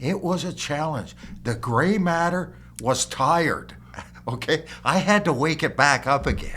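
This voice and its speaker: Here a man with a fairly high, bright, sharp voice speaks at a fairly slow pace with ordinary pitch variation. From Ontario, Canada (Cambridge). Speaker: company founder. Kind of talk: casual interview chat.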